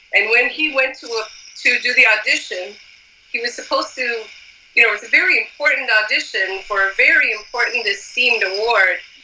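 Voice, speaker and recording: With an American accent and lively intonation, a woman speaks at a high pitch over noticeable background noise. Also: fairly quick pace. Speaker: musician. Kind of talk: casual interview chat.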